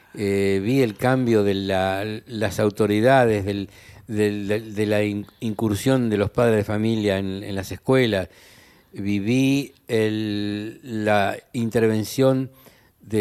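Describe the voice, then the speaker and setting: This man's voice sits fairly low. He keeps his intonation fairly even. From Argentina, Santiago del Estero. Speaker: linguist and language professor. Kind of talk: interview conversation.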